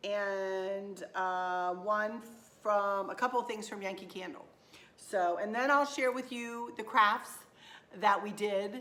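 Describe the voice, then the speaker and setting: A bright, sharp tone moves at a very slow pace with ordinary pitch variation. Audible room echo surrounds the voice. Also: woman, medium pitch for a woman. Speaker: craft and decor vlogger. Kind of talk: shopping haul vlog, casual chat. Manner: chatty, with fillers.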